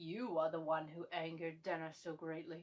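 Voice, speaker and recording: Putting on a character voice, a woman speaks at a moderate pace with fairly low pitch, a gravelly, raspy texture and monotone, flat intonation. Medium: read story.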